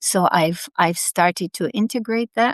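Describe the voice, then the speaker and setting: Over a quiet background, a woman with a Dutch accent speaks with ordinary pitch variation, the sound dry and close with no echo. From Netherlands. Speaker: past life therapist. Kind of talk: interview.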